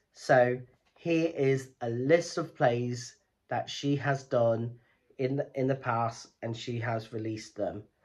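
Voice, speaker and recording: The background is quiet. A man speaks at a very slow pace with fairly even intonation. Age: 30s. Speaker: theatre YouTuber. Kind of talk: educational vlog. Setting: home recording, lights off. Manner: rambling, run-on delivery. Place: home room. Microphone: phone near.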